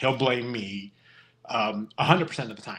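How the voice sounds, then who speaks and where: A man is speaking. He mumbles his words. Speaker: podcast host, construction worker. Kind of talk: casual chat. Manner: mumbling.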